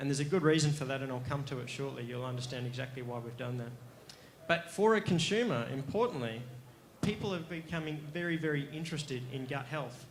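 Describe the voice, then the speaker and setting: With an Australian accent, a man talks very fast at a fairly high pitch with ordinary pitch variation, and the room echo is audible. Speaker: company executive presenting to investors. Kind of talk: investor pitch presentation.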